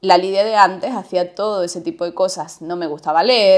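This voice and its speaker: A woman speaks at a moderate pace in a medium pitch with ordinary pitch variation. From Andalusia, Spain. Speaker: podcast co-host. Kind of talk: casual chat. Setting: studio, seated.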